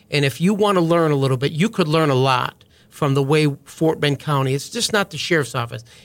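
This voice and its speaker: A man's normal speaking voice in an American accent, fairly high in pitch, at a fairly quick pace with hardly any pauses, ordinary pitch variation and very even loudness. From US Midwest, small-town Wisconsin. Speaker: county sheriff, army veteran. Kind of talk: podcast interview.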